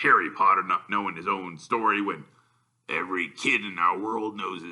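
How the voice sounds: Background sound stays quiet. A natural voice reads with fairly even intonation.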